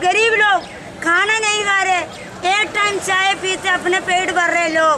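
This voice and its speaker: Crowd noise sits behind a woman speaking in a raised, projected voice at an extremely high pitch. She goes at a very slow pace, with very even loudness and monotone, flat intonation. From South India. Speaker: protester. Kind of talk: street interview. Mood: aggrieved, indignant. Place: street.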